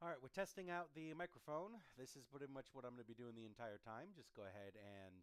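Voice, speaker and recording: Medium-pitched and lively in intonation, a man speaks. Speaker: gaming streamer. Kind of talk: recording voiceover script. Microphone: adjusting mic distance, sounded muffled.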